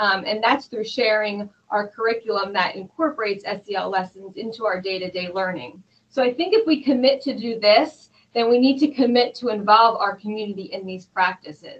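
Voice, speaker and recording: A woman talks at a fairly quick pace in a plain, everyday voice. Her pitch is fairly high, with ordinary variation. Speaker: school district student services director. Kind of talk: interview conversation.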